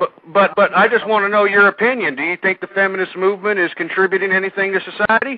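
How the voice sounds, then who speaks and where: A man at a very fast pace and high pitch, with hardly any pauses. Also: fairly even intonation. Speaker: radio talk show host. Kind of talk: call-in radio talk show.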